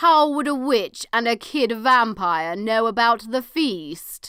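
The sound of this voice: A female-sounding voice puts on a character voice at a fairly slow pace, pitched fairly high. The recording is very clean, with a silent background.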